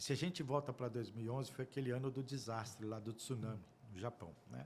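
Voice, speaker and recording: Breathiness shows somewhat in this man's voice. He speaks at a moderate pace. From Brazil. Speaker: audit firm partner. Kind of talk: interview storytelling. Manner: emotional.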